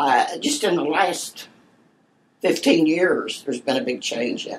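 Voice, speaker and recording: Speaking at a very slow pace, a woman has a fairly low pitch. She talks in an American accent. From southern Ohio, Portsmouth area. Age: 90s. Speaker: oral history interviewee. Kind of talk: interview.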